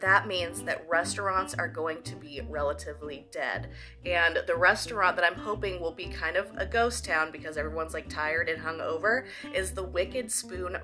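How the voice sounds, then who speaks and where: Female speech at a moderate tempo, clear music in the background. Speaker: food vlogger. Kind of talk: casual vlog chat. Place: home room. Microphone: phone near.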